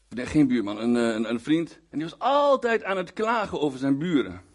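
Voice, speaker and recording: A man talks at a moderate pace over a quiet background. His pitch swings very widely. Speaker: guest preacher. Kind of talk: sermon. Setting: church with congregation. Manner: halting, with many repeated words and fillers.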